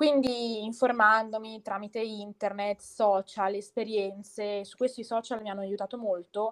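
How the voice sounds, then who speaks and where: In a dry, close sound with no echo, the speech goes at a fairly slow pace with hardly any pauses, monotone, flat intonation and big swings in loudness. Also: woman, fairly high pitch for a woman. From Bergamo, northern Italy. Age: 20s. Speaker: podcast guest sharing her illness story. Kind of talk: personal testimony in interview. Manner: determined, assertive.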